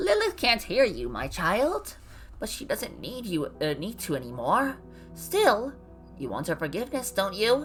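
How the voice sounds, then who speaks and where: With clear music in the background, a female-sounding, put-on character voice talks at a moderate pace. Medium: game stream. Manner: calm, paternal, cryptic.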